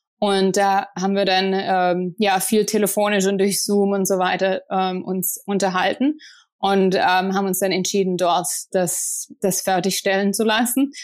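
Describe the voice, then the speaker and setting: A woman's medium-pitched voice, flat and monotone, at a fairly slow pace over a very clean, silent background. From southern Germany, near Stuttgart. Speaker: entrepreneur. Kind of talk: interview.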